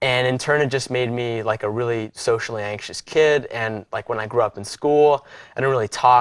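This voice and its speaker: With an ordinary speaking voice, a man of medium pitch talks at a moderate pace and with fairly even intonation on a very clean recording with a silent background. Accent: American. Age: 20s. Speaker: podcast host. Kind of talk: interview. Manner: many fillers, casual.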